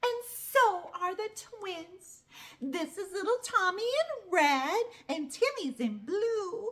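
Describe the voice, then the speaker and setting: Using a put-on character voice, a woman speaks at an extremely high pitch and a very slow pace with very wide pitch swings. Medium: read story. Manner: fretful, fussy.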